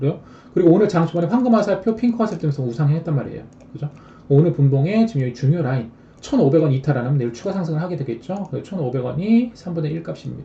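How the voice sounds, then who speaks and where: This man talks at a very fast pace, his fairly high pitch carried by lively intonation. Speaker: stock trading streamer. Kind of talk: live stream stock chart lecture.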